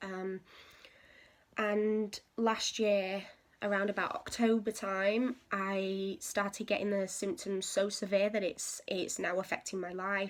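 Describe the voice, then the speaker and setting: In an English accent, a woman speaks very slowly at a medium pitch with monotone, flat intonation, on a very clean recording with a silent background. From England. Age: 20s. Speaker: patient sharing medical experience. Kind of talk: casual talk to camera. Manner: hesitant, with frequent fillers.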